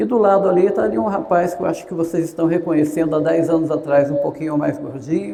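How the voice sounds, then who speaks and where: A man's fairly high-pitched voice at a fairly quick pace, with ordinary pitch variation and audible room echo. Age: 60s. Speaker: gerontologist. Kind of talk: lecture. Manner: conversational.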